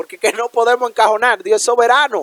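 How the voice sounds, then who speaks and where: A man with an extremely high pitch talks at a fairly quick pace, recorded dry and close with no echo. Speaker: preacher. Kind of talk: sermon.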